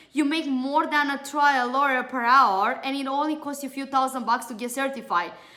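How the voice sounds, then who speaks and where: Her voice raised and projected, a woman speaks at a moderate pace and a high pitch, with a bright, sharp tone and ordinary pitch variation. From Romania. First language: Romanian. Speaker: beauty trainer and entrepreneur. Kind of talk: webinar sales pitch.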